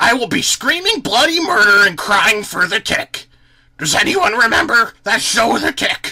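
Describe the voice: The words are read aloud plainly. Nothing more is done with them.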